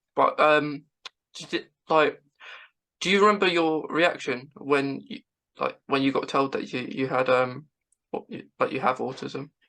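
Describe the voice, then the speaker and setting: A woman speaks at a fairly slow pace, leaving long, frequent pauses. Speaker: podcast host. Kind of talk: interview. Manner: halting.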